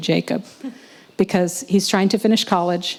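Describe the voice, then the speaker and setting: A woman's medium-pitched voice with an American accent, fairly quick and fairly even in intonation, over noticeable background noise. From US. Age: 60s. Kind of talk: conference presentation with Q&A.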